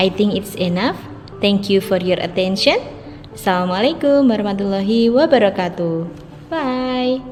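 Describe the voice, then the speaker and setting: A woman's medium-pitched voice, moderate in pace, with lively intonation and music in the background. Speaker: student presenter. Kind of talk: academic presentation.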